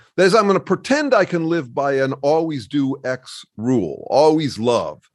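Against a quiet background, a man with an American accent speaks in a normal speaking voice. His pitch is fairly high, his intonation lively and his pace moderate. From US Midwest, Chicago. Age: 60s. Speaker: author and researcher. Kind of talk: casual interview conversation.

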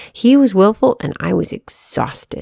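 A woman talks at a moderate pace with a fairly high pitch and a dark, mellow tone, in a dry, close sound with no echo. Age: 30s. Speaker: devotional writer and editor. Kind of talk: reading aloud.

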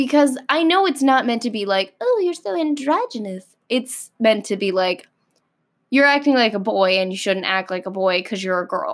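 A woman with an American accent, fairly high pitch, very wide pitch swings and a moderate pace, on a very clean recording with a silent background. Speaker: podcast host. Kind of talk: casual solo monologue. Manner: animated.

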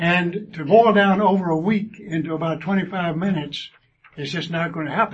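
A high-pitched male voice with a Southern US accent. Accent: South Georgia, Southern US. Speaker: church class lesson leader, speaker. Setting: church classroom, addressing a group. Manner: folksy, self-deprecating, warm.

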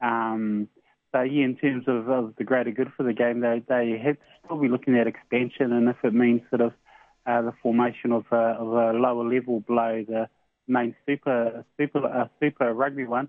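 Speaking in a New Zealand accent, a man keeps a monotone, flat intonation at a moderate pace. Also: medium pitch for a man. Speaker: sports radio co-host. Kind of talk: casual chat. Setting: phone call. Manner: halting, many fillers.

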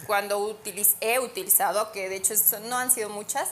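A woman talks at medium pitch with ordinary pitch variation. Noticeable background noise is present. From Ecuador, Ambato. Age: 30s. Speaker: model and sales executive. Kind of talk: casual chat.

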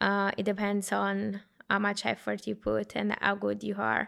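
Speaking at a very slow pace, a woman talks with an Italian accent. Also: very clean recording, silent background. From Italy, small town. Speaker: consultant. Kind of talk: casual discussion.

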